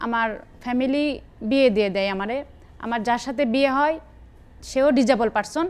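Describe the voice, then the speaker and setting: High pitch and ordinary pitch variation from a woman. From Bangladesh, Bogura (north). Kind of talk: personal testimony.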